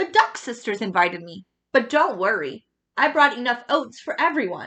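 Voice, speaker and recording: A put-on character voice from a woman, high in pitch and moderate in pace. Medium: read story.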